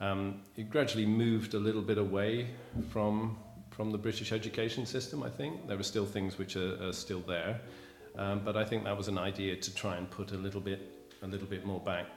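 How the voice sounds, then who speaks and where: Fairly quick, fairly low-pitched male speech with fairly even intonation, audible room echo and noticeable background noise. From England, Bristol. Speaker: teacher. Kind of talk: interview.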